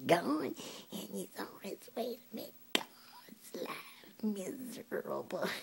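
A woman's put-on character voice, medium in pitch, at a fairly slow pace. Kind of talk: comedic monologue.

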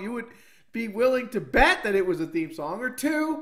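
The intonation is lively. The background is quiet. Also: man. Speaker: video creator. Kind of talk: casual vlog chat. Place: home room.

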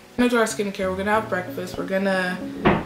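Faint music plays in the background as a woman speaks with fairly even intonation. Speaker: vlogger. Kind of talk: casual vlog chat. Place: home room. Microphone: phone near.

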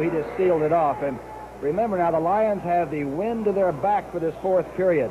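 A man's confident, high-pitched voice at a fairly quick pace, over noticeable background noise. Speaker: TV football announcer. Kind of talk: live radio sports commentary, 1970 NFL broadcast, play-by-play and analysis. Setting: press box stadium broadcast, live radio. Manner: crisp, knowledgeable color-analyst tone, explaining plays with confident detail. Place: stadium.

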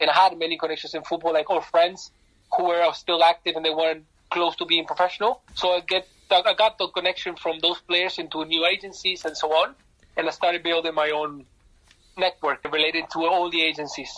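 Speaking in a Spanish accent, a man talks fairly quickly in a high pitch with a bright, sharp tone. His intonation is monotone and flat. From Argentina. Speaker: football agent. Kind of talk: interview.

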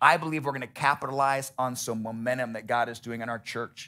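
A man's bright, sharp voice at a fairly quick pace, with ordinary pitch variation. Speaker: pastor. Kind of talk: sermon. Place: church. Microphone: headset.

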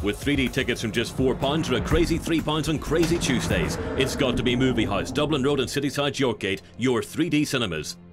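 Over music in the background, a man talks at a fairly quick pace with hardly any pauses, his medium-pitched voice carrying lively intonation at very even loudness. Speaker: voice actor. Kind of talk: TV commercial read.

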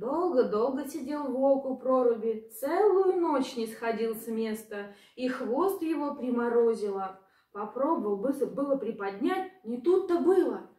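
A woman with a fairly high pitch and a dark, mellow tone uses lively intonation, with audible room echo around her. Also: fairly slow pace.

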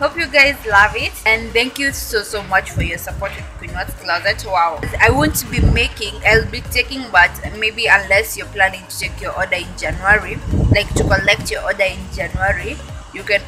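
A woman's voice swings widely in loudness. Clear music plays in the background. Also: moderate pace. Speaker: vlogger. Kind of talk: casual vlog chat. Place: street. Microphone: phone near.

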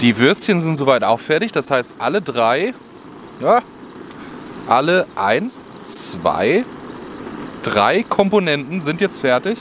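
A man with a fairly high pitch and a fairly bright tone speaks at a slow pace with big pitch swings and long, frequent pauses over faint background noise.

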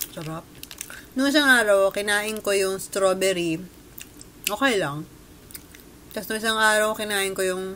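A woman talks at a fairly slow pace with long, frequent pauses. Light background noise can be heard. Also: ordinary pitch variation. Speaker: food vlogger. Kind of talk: casual vlog chat, snack review. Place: home room. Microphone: webcam.

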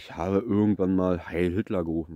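With a very deep, low pitch and fairly even intonation, a man is heard in a dry recording with no echo and a quiet background. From eastern Germany, Brandenburg. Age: 30s. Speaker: vlogger; vlogger telling his life story. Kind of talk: personal life story monologue. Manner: halting. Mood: reflective, serious. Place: forest. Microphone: phone near.

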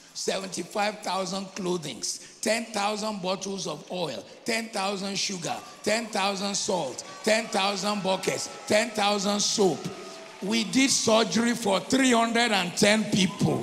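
Music plays in the background as a man with a high pitch and ordinary pitch variation speaks at a very slow pace. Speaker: preacher. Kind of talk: sermon. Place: church. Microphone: handheld.

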